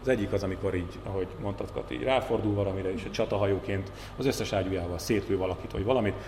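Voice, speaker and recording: Over noticeable background noise and audible room echo, a man talks at a very fast pace with a fairly low pitch and ordinary pitch variation. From Hungary, Borsod-Abaúj-Zemplén county. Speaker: journalist and TV talk show host. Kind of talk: casual chat.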